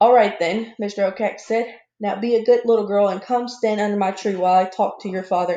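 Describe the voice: Someone does plain reading aloud here.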